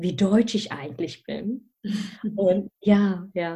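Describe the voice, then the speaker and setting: The voice is somewhat breathy. It moves at a very slow pace. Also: woman. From Germany, of Malaysian family. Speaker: career mentor. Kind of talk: interview. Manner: animated, many fillers.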